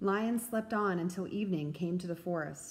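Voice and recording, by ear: Ordinary pitch variation marks this reading aloud in a natural voice.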